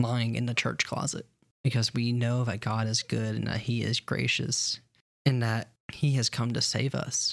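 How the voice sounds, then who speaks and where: On a very clean recording with a silent background, a man talks at a moderate pace and medium pitch, somewhat breathy, with fairly even intonation. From US South, Alabama. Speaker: podcast co-host. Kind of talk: casual chat.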